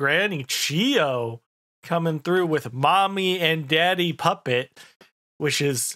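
The voice has a bright, sharp tone and ordinary pitch variation. It moves at a very slow pace over a quiet background. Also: man. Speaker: anime reaction content creator. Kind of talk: casual episode review commentary. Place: home room. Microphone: studio mic.

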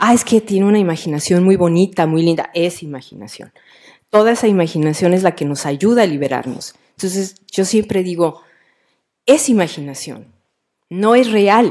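With a Mexican accent, a woman's dark, mellow tone carries lively intonation at a moderate pace over a quiet background. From Mexico, Jalisco. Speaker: writer. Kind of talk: author talk with students. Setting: live event with school audience. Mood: warm, playful. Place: hall.

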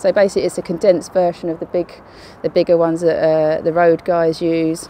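In an ordinary speaking voice, a woman talks fairly quickly at a fairly low pitch, the sound dry with no echo and light background noise. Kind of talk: interview answer and kit walkthrough. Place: street.

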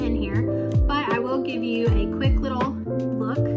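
Loud music plays behind a woman who speaks at a fairly slow pace. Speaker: beginner hobby vlogger. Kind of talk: casual talk to camera. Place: home room. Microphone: phone near.

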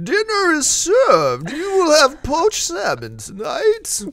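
The speaker uses a put-on character voice with a high pitch. The pace is fairly slow. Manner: effeminate, formal.

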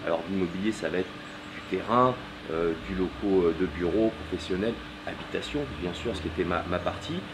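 Over noticeable background noise, a man talks at a moderate pace in a very deep, low voice with ordinary pitch variation. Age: 30s. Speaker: property dealer; interviewee. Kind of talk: interview. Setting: at home during building work. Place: garden. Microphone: camera far.

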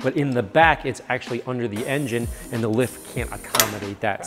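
Faint music plays behind a man as he talks. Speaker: host. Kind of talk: tutorial. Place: garage.

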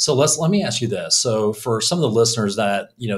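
The background is quiet. A man talks at a fairly quick pace with a fairly low pitch. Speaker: podcast host. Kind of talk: casual interview. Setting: in-person in a small echoey room. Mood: warm, appreciative. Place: studio. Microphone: studio mic.

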